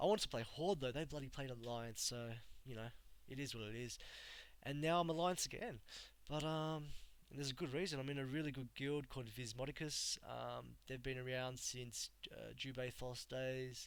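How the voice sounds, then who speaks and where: Speaking with an Australian accent, a man keeps a medium pitch, ordinary pitch variation and a moderate pace. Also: very clean recording, silent background. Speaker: gamer streamer. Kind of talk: casual live stream talk. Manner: casual, halting with fillers.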